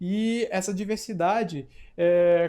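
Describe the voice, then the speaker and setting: A man's high-pitched voice in a very clean recording with a silent background. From Amapá, northern Brazil. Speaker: teacher. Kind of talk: lecture. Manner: halting, with fillers.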